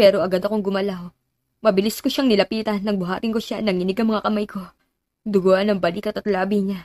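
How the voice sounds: A natural reading voice with fairly even intonation against a quiet background.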